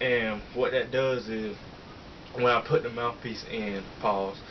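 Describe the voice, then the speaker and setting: A man at a medium pitch and a very slow pace, monotone and flat, over light background noise. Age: 20s. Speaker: fitness youtuber. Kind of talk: casual Q&A chat. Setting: home video recording. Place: home room. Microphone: webcam.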